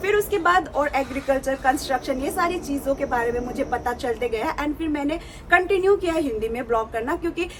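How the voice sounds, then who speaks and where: Against noticeable background noise, a woman with a slight Nepali accent speaks at a moderate pace in a high voice. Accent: Nepali accent in Hindi, slight. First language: Nepali (speaking Hindi). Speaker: vlogger. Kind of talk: casual vlog talk to camera. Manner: hesitant, many fillers.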